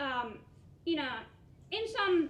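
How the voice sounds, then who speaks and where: A woman talks in an American accent. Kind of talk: casual interview. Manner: short, plain answers.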